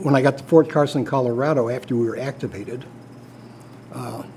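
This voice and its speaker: There is noticeable background noise as a man with an American accent talks at a moderate pace with ordinary pitch variation. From Chicago area, Illinois. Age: 70s. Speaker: war veteran. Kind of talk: interview. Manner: halting, many fillers.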